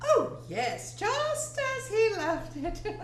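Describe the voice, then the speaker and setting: A squeaky, put-on character voice from a woman, with slight echo. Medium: stage play. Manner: flustered, twittering.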